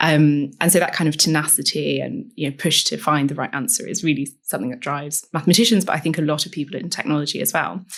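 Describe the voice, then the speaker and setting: A woman speaks very fast with an English accent and a very deep, low pitch. Her intonation is lively, and she hardly pauses. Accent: posh English, picked up at university. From northern England. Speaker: technology strategy advisor. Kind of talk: podcast interview.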